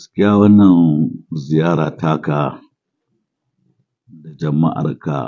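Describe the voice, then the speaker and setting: With a Nigerian accent, a man talks at a very slow pace in a very deep, low voice with ordinary pitch variation. Long, frequent pauses break up his speech. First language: Hausa. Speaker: Islamic cleric. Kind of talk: formal welcome speech. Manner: formal.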